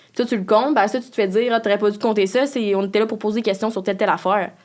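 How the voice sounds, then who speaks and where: A woman talks at a medium pitch. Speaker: podcast co-host. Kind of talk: casual chat. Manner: animated.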